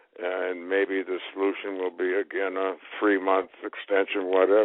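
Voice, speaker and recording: A man talks in a very deep, low voice at a moderate pace. His intonation is monotone and flat. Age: 80s+. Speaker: former state senator. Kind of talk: radio interview answer.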